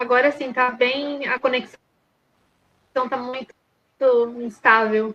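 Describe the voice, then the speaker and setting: A woman speaks very slowly with long, frequent pauses, in a high pitch. Her tone is bright and sharp, and her intonation is monotone and flat. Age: 20s. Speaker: interview guest with a personality disorder diagnosis. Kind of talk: interview. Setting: remote video call. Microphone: unstable internet connection, audio drops.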